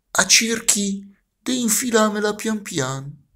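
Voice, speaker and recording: With a Milanese accent, a man speaks in a high pitch with a bright, sharp tone. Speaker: actor. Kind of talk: poetry reading. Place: home room. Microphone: phone near.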